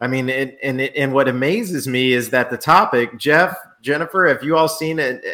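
A man with a normal speaking voice talks at medium pitch and a fairly quick pace, with ordinary pitch variation. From New Orleans, US South.

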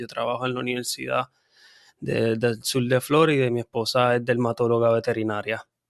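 A man is speaking here at a medium pitch. His pace is fairly quick. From Puerto Rico. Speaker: veterinarian and nonprofit founder. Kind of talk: interview. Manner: halting, many fillers.

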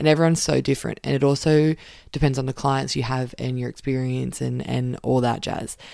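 The pace is fairly quick. A woman talks in an Australian accent. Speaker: occupational therapist podcast host. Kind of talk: casual solo podcast talk. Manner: animated.

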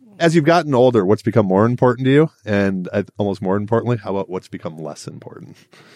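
A man's fairly low voice at a very fast clip, with lively intonation, big swings in loudness, hardly any pauses, and a dry, close sound with no echo. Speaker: podcast host. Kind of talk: interview conversation. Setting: conference in Miami Beach.

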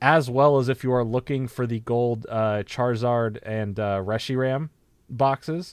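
Against a quiet background, a man talks in a normal speaking voice at medium pitch, with fairly even intonation and a fairly slow pace. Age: 20s. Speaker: podcast co-host. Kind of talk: casual chat.

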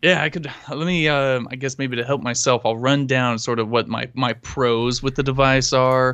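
Against a quiet background, a man with an ordinary speaking voice at medium pitch and a moderate pace. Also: fairly even intonation, hardly any pauses. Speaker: tech podcast co-host. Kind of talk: casual chat. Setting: live stream.

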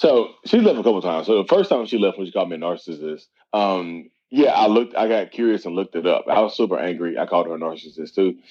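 A man talks at a very fast pace in a fairly low voice. His tone is dark and mellow. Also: ordinary pitch variation. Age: 30s. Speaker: mental health content creator and coach. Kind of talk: podcast interview.

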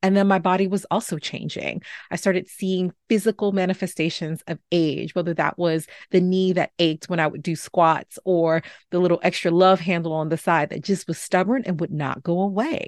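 In an ordinary speaking voice with an American accent, a woman talks at a moderate pace in a fairly low pitch with fairly even intonation, the sound dry and close with no echo against a quiet background. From New York City (Bronx). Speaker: podcast host, physician. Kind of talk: podcast monologue.

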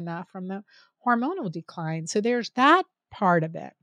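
A woman at medium pitch uses an unremarkable speaking voice at a moderate pace, the sound dry and close with no echo against a quiet background. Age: 50s. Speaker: physician. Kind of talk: interview.

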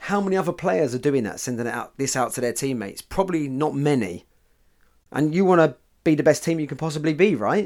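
A man in a British accent talks at a very fast pace with a fairly high pitch. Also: lively intonation. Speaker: football mindset podcaster. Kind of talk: pep talk. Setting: podcast recording. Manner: motivational, punchy, direct; conversational, cheeky humour.

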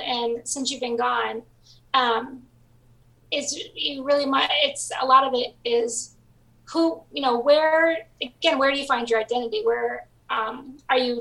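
A woman speaks in an American accent, her voice high-pitched, raised and projected. Her tone is bright and sharp, and her pace is fairly slow. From southwest Michigan, US Midwest. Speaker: novelist. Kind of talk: interview.

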